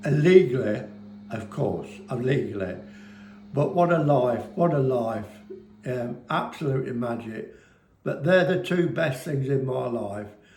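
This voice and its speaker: A man with an English Midlands accent speaks at a fairly slow pace, leaving long, frequent pauses, with lively intonation. Noticeable background noise and audible room echo fill the recording. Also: medium pitch for a man. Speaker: business owner, former railway fireman. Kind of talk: casual chat to camera. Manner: animated.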